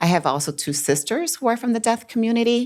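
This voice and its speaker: A woman with a Chicago accent speaks at a moderate pace with lively intonation, on a very clean recording with a silent background. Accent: Chicago American English. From Chicago, US. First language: Spanish. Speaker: business owner. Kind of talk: interview.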